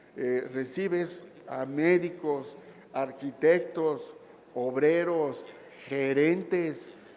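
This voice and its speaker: A man with a fairly high pitch, heard with audible room echo. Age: 60s. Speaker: labor lawyer. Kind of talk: lecture.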